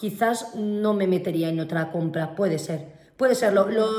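With audible room echo, a woman speaks at a fairly high pitch with ordinary pitch variation. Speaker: podcast co-host, business owner. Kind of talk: casual chat. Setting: at home.

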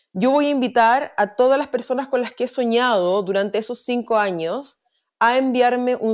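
A woman's fairly high-pitched, plain, everyday voice at a moderate pace, with ordinary pitch variation, on a very clean recording over a silent background. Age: 30s. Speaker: visual artist and actress. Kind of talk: casual interview. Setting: at home.

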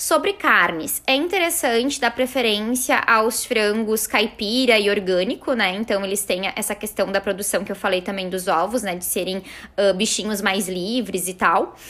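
A woman talks at a moderate pace with medium pitch and ordinary pitch variation. Her tone is bright and sharp, with hardly any pauses. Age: 30s. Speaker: nutritionist. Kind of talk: podcast tips chat.

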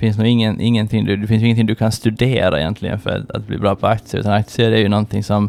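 A very fast pace with hardly any pauses and monotone, flat intonation. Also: man, fairly low pitch for a man. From Åland, Finland. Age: 30s. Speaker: fund manager. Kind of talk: interview. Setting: studio.

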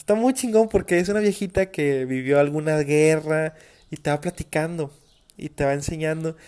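A man with a Mexican accent talks at a moderate pace, fairly high in pitch with ordinary pitch variation. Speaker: podcast host. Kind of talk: casual monologue. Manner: animated.

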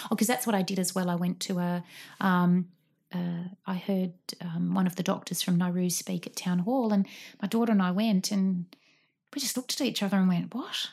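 A somewhat breathy woman of medium pitch with an Australian accent. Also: fairly quick pace, very clean recording, silent background. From Sydney, Australia. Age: 40s. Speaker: guest. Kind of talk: casual chat. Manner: animated; halting.

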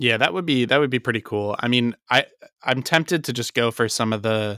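An ordinary speaking voice moves at a fairly quick pace in a dry, close sound with no echo, on a very clean recording with a silent background. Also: man. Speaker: history podcast co-host. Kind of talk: casual chat and scripted history narration.

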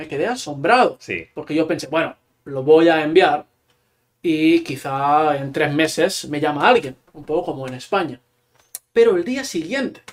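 The speech goes at a fairly slow pace with big swings in loudness and ordinary pitch variation. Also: man, fairly high pitch for a man. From Catalonia, small town near Barcelona. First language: Catalan (speaking Spanish). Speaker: Spanish teacher and author. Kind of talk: casual interview.

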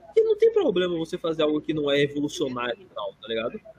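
A man's fairly high voice, with ordinary pitch variation, comes through noticeable background noise. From Brazil. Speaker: podcast co-host. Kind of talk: casual chat.

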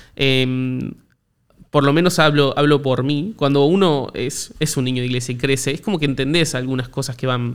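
A man with a Rioplatense accent speaks at a fairly quick pace, his medium-pitched voice following a fairly even intonation. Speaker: podcast host. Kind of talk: casual interview chat. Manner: halting, repetitive.

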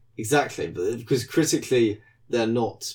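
Somewhat breathy with a dark, mellow tone, the voice comes through in a very clean recording against a silent background. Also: man. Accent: British. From UK. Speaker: podcast co-host. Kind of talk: casual chat.

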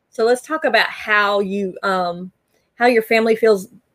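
A normal speaking voice with ordinary pitch variation. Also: woman. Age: 50s. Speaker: podcast host. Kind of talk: interview.

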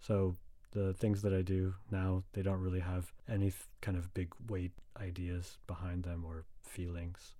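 A man with an American accent speaks at a fairly slow pace in a very deep, low, dark and mellow voice that is somewhat breathy, with monotone, flat intonation. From Los Angeles, US West Coast. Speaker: composer. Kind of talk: casual chat. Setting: video call.

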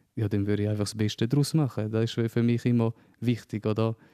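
Against a quiet background, with dry, close sound and no echo, a man speaks at a moderate pace and medium pitch in a dark, mellow tone and monotone, flat intonation. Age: 30s. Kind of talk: interview conversation. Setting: at his home. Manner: halting, many fillers.

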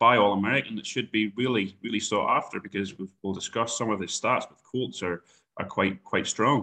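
Fairly low-pitched with a bright, sharp tone and a slight Irish accent, a man speaks at a fairly quick pace with fairly even intonation and big swings in loudness. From Ireland. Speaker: horse racing industry guest. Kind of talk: podcast interview.

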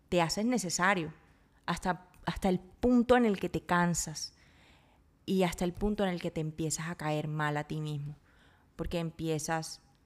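A woman's fairly low voice at a fairly slow pace. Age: 30s. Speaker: podcast host. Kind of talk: casual monologue. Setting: home kitchen.

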